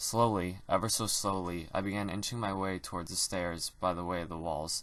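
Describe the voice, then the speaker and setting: Music plays in the background as a man speaks with a very deep, low pitch. He keeps a fairly quick pace and fairly even intonation. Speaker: creepypasta narrator. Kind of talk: reading aloud. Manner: unusual reading voice.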